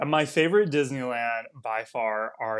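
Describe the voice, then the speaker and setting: On a very clean recording with a silent background, a man with an American accent has a plain, everyday voice at medium pitch with ordinary pitch variation. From Texas. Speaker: travel content creator. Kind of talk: casual chat.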